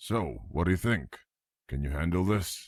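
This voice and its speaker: Using a put-on character voice, a man speaks at a very deep, low pitch. His pace is moderate. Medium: machinima. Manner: brisk, self-assured.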